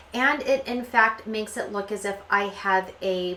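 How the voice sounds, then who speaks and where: Audible room echo surrounds a woman speaking at medium pitch in a bright, sharp tone with ordinary pitch variation. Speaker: beauty vlogger. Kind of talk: personal vlog narration. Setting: home bathroom.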